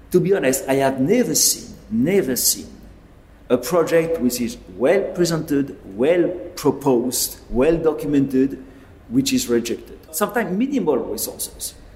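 A man speaks at a moderate pace with lively intonation. Background noise is noticeable. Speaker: network engineer. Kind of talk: interview.

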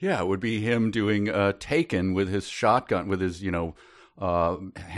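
Someone reads a text out loud. The reading voice sounds unforced.

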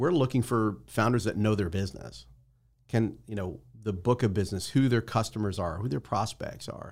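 On a very clean recording with a silent background, a man with an American accent speaks at a moderate pace in a fairly low pitch, showing vocal fry and ordinary pitch variation. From New Jersey. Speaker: startup investor and founder. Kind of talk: interview. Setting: studio.

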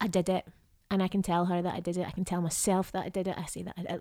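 A woman with a Scottish accent talks at a fairly quick pace in a medium pitch with a dark, mellow tone. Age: 30s. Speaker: actor. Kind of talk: casual chat.

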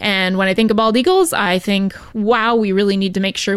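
A woman speaks in a normal speaking voice. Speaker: wildlife rehabilitation program manager. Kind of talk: educational radio segment.

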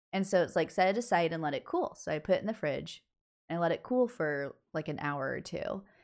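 An unremarkable speaking voice, a woman's, fairly low in pitch at a fairly quick pace. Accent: American.

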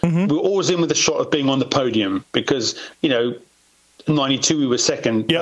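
A man races along at a very fast pace, his fairly high voice lively in intonation, while noticeable background noise continues. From South Africa. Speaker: former motocross racer and stuntman. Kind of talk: casual interview.

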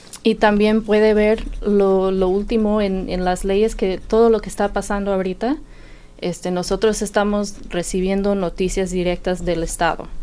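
The tone is dark and mellow, with fairly even intonation. Delivery moves at a moderate pace. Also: woman, medium pitch for a woman. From Indiana, US. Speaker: health insurance enrollment worker. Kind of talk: radio interview.

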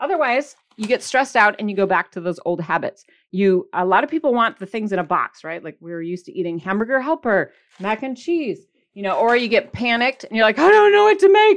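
A woman's upbeat, animated voice in a Michigan accent, fairly high and fairly quick, with very wide pitch swings and big swings in loudness over a quiet background. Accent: Michigan, general northern US. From US Michigan. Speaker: podcast host and keto weight-loss coach. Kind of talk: casual solo podcast talk with tips. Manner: chatty, upbeat, animated.

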